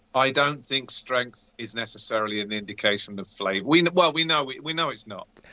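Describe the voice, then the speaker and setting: A man with a normal speaking voice and medium pitch talks at a fairly quick pace with hardly any pauses. His intonation is lively, with big swings in loudness. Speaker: co-host, beer taster. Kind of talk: casual chat while tasting beer.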